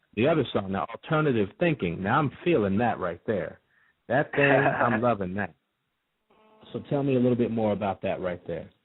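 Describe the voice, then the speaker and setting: A man's plain, everyday voice at medium pitch and moderate pace. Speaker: radio show host. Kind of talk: radio interview, hosting a show.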